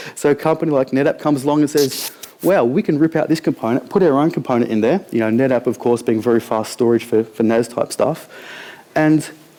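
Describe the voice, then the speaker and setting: With an Australian accent, a man talks at a fairly quick pace and a fairly high pitch. His pitch variation is ordinary, and there is noticeable background noise. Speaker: conference speaker. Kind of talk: conference talk. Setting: stage with audience. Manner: fast; casual.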